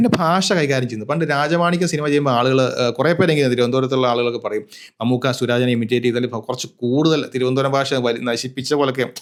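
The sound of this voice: The speech moves at a very fast pace. Pitch varies in an ordinary way. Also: man, medium pitch for a man.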